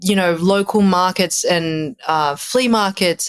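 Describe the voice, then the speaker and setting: Speaking very slowly with an Australian accent, a woman with a fairly low voice is heard in a very clean recording with a silent background and a dry, close sound with no echo. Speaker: musician. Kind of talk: casual chat.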